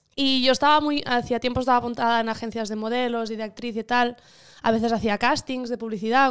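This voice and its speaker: Over a silent background in a very clean recording, a woman talks very fast in a high, monotone, flat voice. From Catalonia, Igualada. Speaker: actress. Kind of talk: casual interview.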